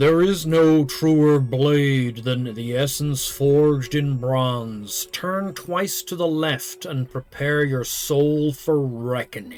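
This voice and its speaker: Using a put-on, resonant character voice, a man speaks very slowly at a fairly high pitch. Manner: solemn, ominous.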